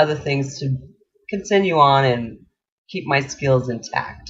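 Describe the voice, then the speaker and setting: A man's somewhat breathy voice at a medium pitch. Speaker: radio host. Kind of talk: personal bio talk.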